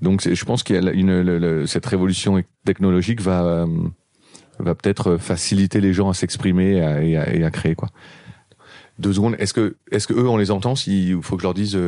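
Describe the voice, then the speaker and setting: A man with a very deep, low pitch and a dark, mellow tone talks at a fairly quick pace with fairly even intonation and long, frequent pauses. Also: very even loudness. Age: 40s. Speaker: record label founder. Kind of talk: interview. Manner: halting.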